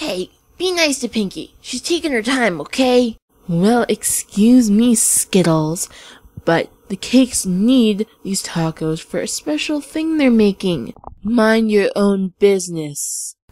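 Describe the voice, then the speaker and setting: A female-sounding put-on character voice with a fairly high pitch moves at a fairly slow pace. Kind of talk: fan audio drama. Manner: rude, snippy.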